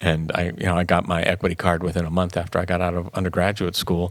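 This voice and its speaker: Very fast speech from a man with a Midwestern accent and a very deep, low pitch. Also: very clean recording, silent background. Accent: general American (Midwest). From US Midwest, Canton, Ohio. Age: 70s. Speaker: theater artistic director, former actor. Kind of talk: interview conversation.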